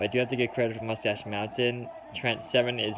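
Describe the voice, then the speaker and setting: A man with a Minnesotan accent speaks over noticeable background noise. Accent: Minnesota. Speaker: wrestling fan reaction streamer. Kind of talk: live reaction commentary.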